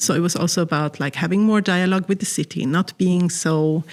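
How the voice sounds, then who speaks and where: A woman speaks at a fairly low pitch with ordinary pitch variation. The recording is very clean, with a silent background. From Sweden, Stockholm. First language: Swedish. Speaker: artist. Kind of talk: interview.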